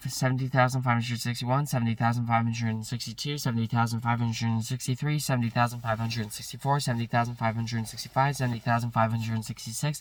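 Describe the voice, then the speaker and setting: Talking very fast, a man holds a medium pitch in a monotone, flat intonation. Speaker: YouTuber counting numbers. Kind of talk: counting aloud.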